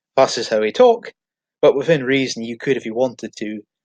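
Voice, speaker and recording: Recorded dry and close with no echo, a man speaks with a Highland Scottish accent. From Scotland, Inverness. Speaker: online marketing tutor. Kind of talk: tutorial. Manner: halting.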